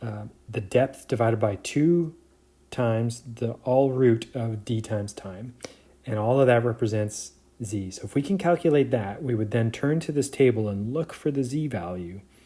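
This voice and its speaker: This man has a medium pitch, a dark, mellow tone and a somewhat breathy quality. He talks at a fairly slow pace with ordinary pitch variation and long, frequent pauses. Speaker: professor. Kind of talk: lecture. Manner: halting, many fillers.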